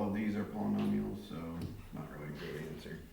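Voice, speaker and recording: Audible room echo and noticeable background noise fill the recording. A man with a very deep, low pitch talks at a fairly quick pace. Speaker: math teacher. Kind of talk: classroom lesson. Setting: classroom with students.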